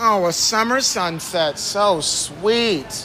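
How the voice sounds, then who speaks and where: Very slowly and with lively intonation, a man speaks amid audible room echo and noticeable background noise. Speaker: livestreaming walking tour guide. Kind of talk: casual live walking tour chat. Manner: animated.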